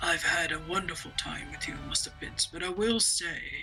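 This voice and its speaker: In a put-on, growling character voice, a man stays soft-spoken at a moderate pace. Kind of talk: formal, courteous. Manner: soft, affectionate, polite.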